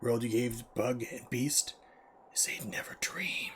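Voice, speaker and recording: Clear background noise sits under a man doing a strained, put-on character voice at a moderate pace. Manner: strained, throat-straining put-on voice.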